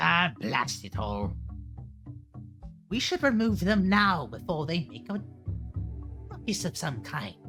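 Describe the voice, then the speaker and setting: Clear music plays behind a put-on character voice at a low-to-middle pitch, moving at a fairly slow pace with long, frequent pauses. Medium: actual play. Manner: haughty, bickering.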